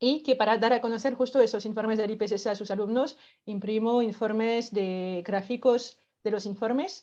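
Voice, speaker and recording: A woman with a dark, mellow tone and fairly high pitch, fairly even intonation at a moderate pace, against a quiet background. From France. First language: French (speaking Spanish). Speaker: workshop facilitator. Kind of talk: explanatory talk. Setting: online event.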